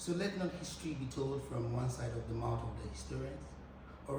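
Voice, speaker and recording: Fairly quick speech from a man, amid noticeable background noise. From Ghana. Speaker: spoken word poet. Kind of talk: live spoken word poetry.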